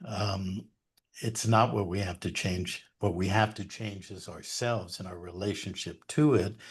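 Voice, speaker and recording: A man talks with a somewhat breathy voice and ordinary pitch variation. The background is quiet. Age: 70s. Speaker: researcher and educator on law and history. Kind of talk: interview monologue. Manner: hesitant fillers.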